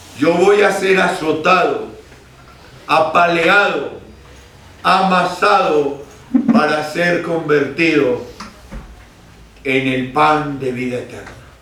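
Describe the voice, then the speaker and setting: A man's high voice at a very slow pace, with long, frequent pauses and noticeable background noise. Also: ordinary pitch variation. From Neira, Caldas, Colombia. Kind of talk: religious talk to a prayer group.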